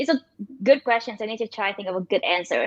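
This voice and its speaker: A woman speaks in a Vietnamese accent. Her intonation is lively. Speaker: machine learning engineer and startup founder. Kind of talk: interview. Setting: livestream. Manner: fast; halting.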